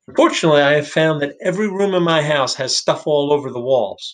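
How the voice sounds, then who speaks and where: Against a quiet background, a man talks very fast with fairly even intonation. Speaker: freelancer vlogger. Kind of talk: casual vlog chat. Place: home room. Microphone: webcam.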